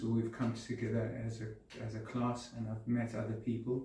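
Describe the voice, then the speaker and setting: A man with a dark, mellow tone sounds somewhat breathy, and audible room echo surrounds his voice. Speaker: person with Parkinson's disease, Alexander Technique student. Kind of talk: interview testimony. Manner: halting, repeats words; calm.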